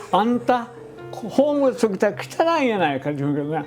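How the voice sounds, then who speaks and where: His pitch rises and falls very widely, at a moderate pace. Background music accompanies the man. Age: 80s+. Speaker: management consultant. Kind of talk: interview answer.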